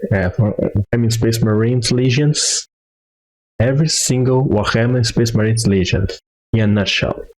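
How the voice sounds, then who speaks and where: At a moderate pace, a man speaks in a medium pitch with ordinary pitch variation, very even loudness and a somewhat breathy quality. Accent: non-native. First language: not English. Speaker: vtuber. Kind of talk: casual reaction commentary.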